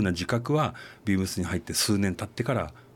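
With lively intonation and a moderate pace, a man speaks in an unremarkable speaking voice. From Tokyo. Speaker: fashion company executive. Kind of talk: interview. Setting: studio.

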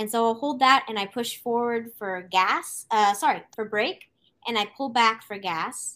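With an American accent, a woman speaks fairly slowly in a fairly high, bright, sharp voice with ordinary pitch variation. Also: very clean recording, silent background. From California. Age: 20s. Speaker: cancer survivor. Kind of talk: interview.

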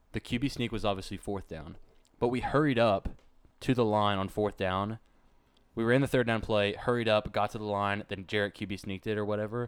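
A man's normal speaking voice, fairly low in pitch, at a fairly quick pace with fairly even intonation, in a very clean recording with a silent background. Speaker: podcast host. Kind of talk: casual sports chat.

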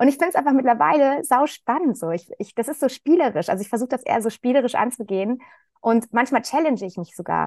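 A woman talks very fast in a high voice. The sound is dry and close, with no echo. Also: lively intonation. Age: 40s. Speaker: sales coach. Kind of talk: casual chat.

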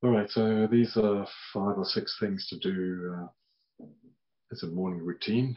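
Long, frequent pauses break up the speech. A man delivers it at a fairly slow pace. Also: fairly low pitch for a man. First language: English (speaking Portuguese). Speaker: Buddhist meditation teacher. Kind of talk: dharma talk. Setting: video call. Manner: halting.

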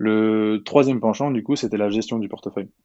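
A man talks at a moderate pace. The sound is close and dry, without any echo. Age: 20s. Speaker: business school student intern. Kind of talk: interview. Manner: halting, many repetitions.

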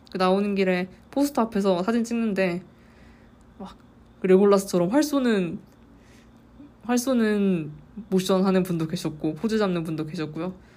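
A woman speaks at a moderate pace in a medium pitch with a dark, mellow tone. Her pauses are long and frequent. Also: ordinary pitch variation. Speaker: podcast host. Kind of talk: solo podcast monologue.

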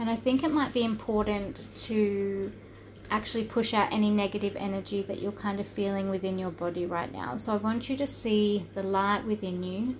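A woman talks in a medium-pitched, somewhat breathy voice with a warm, soothing tone. Her pitch varies in an ordinary way. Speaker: spiritual healer and podcast host. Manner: slow, soothing and reassuring, speaking in calm invitations; warm and conversational, with frequent filler ums and a laugh.

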